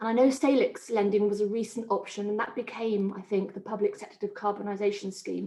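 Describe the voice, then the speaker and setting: At a moderate pace, a woman talks in a normal speaking voice of medium pitch. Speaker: community energy presenter. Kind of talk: webinar presentation.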